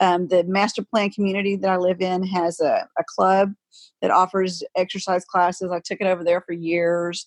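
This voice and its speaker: A woman's monotone, flat delivery, dry and close with no echo. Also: medium pitch for a woman, moderate pace, quiet background. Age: 50s. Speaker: yoga teacher. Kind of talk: casual chat.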